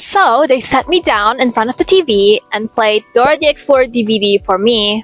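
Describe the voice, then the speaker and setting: A woman with an Indonesian accent, fairly high in pitch, lively in intonation and moderate in pace, her sound dry and close with no echo, music in the background. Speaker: student vlogger. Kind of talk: creative vlog. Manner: casual.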